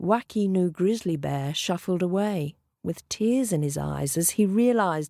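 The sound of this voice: Over a quiet background, someone reads in an unforced voice with lively intonation.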